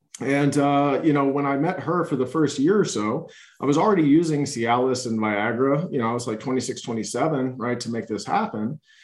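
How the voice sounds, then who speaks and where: A man with an unremarkable speaking voice talks at a moderate pace and a fairly high pitch. His pitch variation is ordinary, and the background is quiet. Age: 30s. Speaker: addiction recovery coach. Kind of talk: interview conversation.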